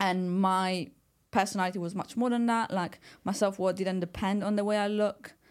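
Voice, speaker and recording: On a very clean recording with a silent background, a woman with an Italian accent speaks at a moderate pace with fairly even intonation. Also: medium pitch for a woman. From Italy. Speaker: personal trainer. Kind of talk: casual chat.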